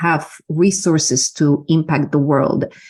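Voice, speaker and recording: A woman with a Polish accent speaks at a very deep, low pitch. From Poland. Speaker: business mentor and energy healer. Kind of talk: interview. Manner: halting, many fillers.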